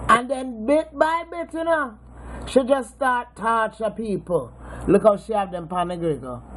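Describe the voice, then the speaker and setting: A woman with a Jamaican accent speaks at a fairly high pitch and a fairly slow pace with lively intonation over noticeable background noise. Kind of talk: casual talk to camera. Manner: playful, teasing.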